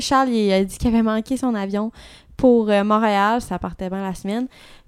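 A woman's medium-pitched voice in a Quebec accent, fairly slow, with ordinary pitch variation, on a very clean recording with a silent background. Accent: Québécois French. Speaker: podcast co-host. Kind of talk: casual chat.

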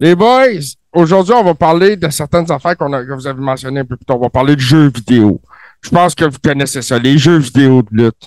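A man with a Quebec accent talks at a fairly quick pace in an animated, playful tone, at a fairly high pitch with ordinary pitch variation. His loudness swings widely, and the sound is dry and close with no echo. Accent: Quebecois French. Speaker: co-host. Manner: animated, playful ring announcer style.

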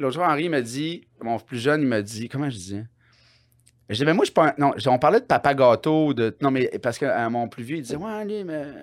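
The recording is very clean with a silent background as a man with an ordinary speaking voice and fairly high pitch talks at a moderate pace. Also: lively intonation. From Quebec, Bas-Saint-Laurent. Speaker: comedian. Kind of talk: casual chat.

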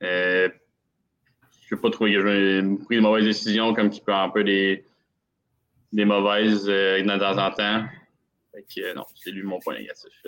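Speaking in a Quebec accent, a man uses a fairly low pitch and a monotone, flat intonation. His pace is fairly slow, with long, frequent pauses and big swings in loudness. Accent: Québécois French. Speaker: hockey commentator guest. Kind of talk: casual sports analysis chat.

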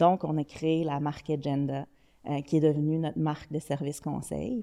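The voice has a dark, mellow tone. Its intonation stays monotone and flat. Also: woman. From Quebec City, Quebec. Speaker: digital strategy executive. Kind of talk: podcast interview.

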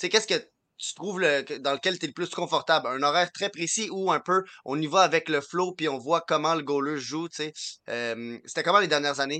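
A man's bright, sharp voice at a fairly quick pace, with ordinary pitch variation, dry close sound without echo, and a quiet background. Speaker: podcast co-host.

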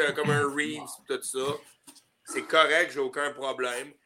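Speaking with a Quebec accent, a man talks at a fairly slow pace in a fairly high pitch. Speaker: hockey player. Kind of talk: casual chat.

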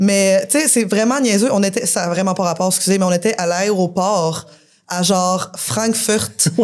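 A woman's normal speaking voice at medium pitch, fairly slow, with ordinary pitch variation and very even loudness. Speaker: punk rock musician. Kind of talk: casual chat. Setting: bar with live audience.

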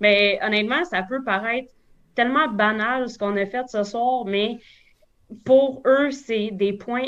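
A woman's fairly high voice in a Quebec accent, fairly slow, with ordinary pitch variation. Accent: Québécois French. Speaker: baseball umpire. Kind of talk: casual interview.

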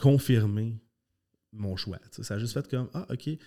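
A man's dark, mellow voice with ordinary pitch variation, on a very clean recording with a silent background. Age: 30s. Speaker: karate school owner and former competitive athlete. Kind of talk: casual interview chat. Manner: animated, passionate.

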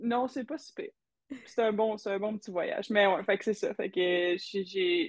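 A woman with an ordinary speaking voice talks at a fairly slow pace, her fairly high pitch rising and falling in lively intonation. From Quebec. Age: 20s. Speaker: professional hockey player. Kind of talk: interview.

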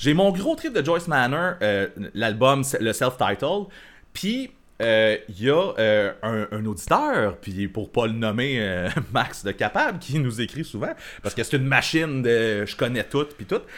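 In a Quebec accent, a man speaks at a very slow pace with lively intonation and a medium pitch. The recording is very clean, with a silent background. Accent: Québécois French. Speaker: podcast co-host. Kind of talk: casual chat. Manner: laughing, hesitant.

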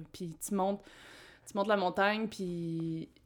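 At a fairly slow pace, a woman with an ordinary speaking voice speaks at medium pitch with ordinary pitch variation. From Quebec, Abitibi-Témiscamingue. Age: 20s. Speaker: tree planter. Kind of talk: casual interview.

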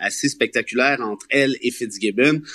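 A man with an unremarkable speaking voice talks at a fairly slow pace, his intonation fairly even. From Quebec, Laurentides (Mont-Laurier). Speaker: columnist and lawyer. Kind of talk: radio panel discussion.

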